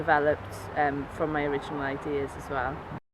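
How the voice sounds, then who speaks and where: A woman in a Welsh accent, very deep and low-pitched, against noticeable background noise. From Wales, Cardiff. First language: Welsh and Cornish. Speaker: musician. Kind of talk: interview. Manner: hesitant, many fillers.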